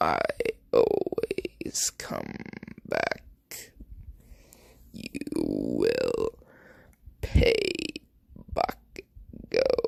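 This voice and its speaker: A put-on character voice from a man, extremely high in pitch, very slow, with long, frequent pauses. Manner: threatening.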